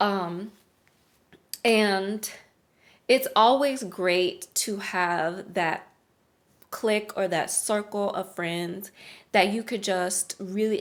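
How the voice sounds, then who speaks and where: This woman has a medium-pitched voice and an American accent. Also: very clean recording, silent background. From US South, New Orleans, Louisiana. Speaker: lifestyle and spiritual coach. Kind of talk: casual vlog talk. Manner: conversational with many fillers.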